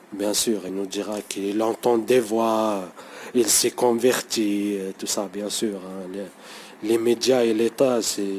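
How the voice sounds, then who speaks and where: A man with a non-native accent speaks at a very slow pace in monotone, flat intonation. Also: fairly low pitch for a man. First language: not French (speaking French). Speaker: conspiracy vlogger. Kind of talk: unscripted monologue vlog. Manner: halting, many hesitations and repetitions; improvised, unprepared.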